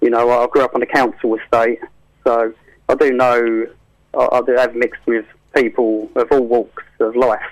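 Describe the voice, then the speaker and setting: Delivered at a moderate pace, the speech has monotone, flat intonation and very even loudness. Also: man, medium pitch for a man. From England, Essex. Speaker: gospel rapper. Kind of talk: radio interview. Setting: radio show. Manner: hesitant, many fillers.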